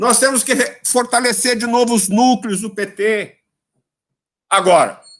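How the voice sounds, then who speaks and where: An animated man's voice, extremely high in pitch, at a fairly slow pace. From São Paulo, Brazil. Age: 70s. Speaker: politician. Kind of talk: lecture. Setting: video call.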